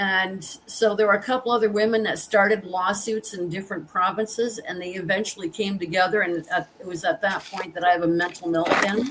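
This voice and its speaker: A woman of medium pitch at a moderate pace, with ordinary pitch variation and noticeable background noise. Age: 60s. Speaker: veteran and survivor advocate. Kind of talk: interview testimony. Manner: halting.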